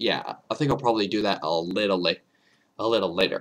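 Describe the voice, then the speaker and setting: This man's fairly low voice carries a vocal fry. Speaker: YouTube reaction video creator. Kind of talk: casual video outro monologue. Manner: halting, many repetitions and false starts.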